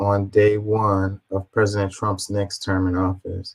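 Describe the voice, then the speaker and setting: In a very clean recording with a silent background, a man speaks fairly slowly at a fairly low pitch. His voice is somewhat breathy, his intonation monotone and flat. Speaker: political commentary streamer. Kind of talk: livestream commentary reading posts. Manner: halting, stuttering over words.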